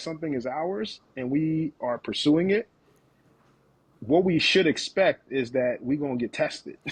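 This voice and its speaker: A man's voice sits fairly high in pitch and moves with lively intonation. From West Africa, moved to US at about 10. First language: African dialect. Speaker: leadership coach. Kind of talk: podcast interview. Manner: animated, emphatic.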